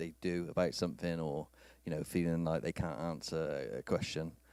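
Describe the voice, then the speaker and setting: With a British accent, a man speaks at a moderate pace in a very deep, low pitch and monotone, flat intonation on a very clean recording with a silent background. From UK. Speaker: IT industry speaker. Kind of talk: conference talk. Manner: halting.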